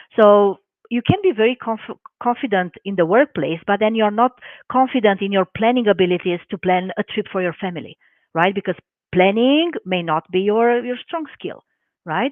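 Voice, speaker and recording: Speaking in a Romanian accent, a woman with a medium pitch talks at a moderate pace with lively intonation. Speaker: life coach and hypnotherapist. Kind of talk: live webinar interview.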